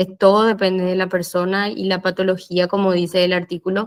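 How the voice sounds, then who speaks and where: Here a woman talks at medium pitch and a moderate pace. Her intonation is monotone and flat. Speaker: physiotherapist. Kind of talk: lecture.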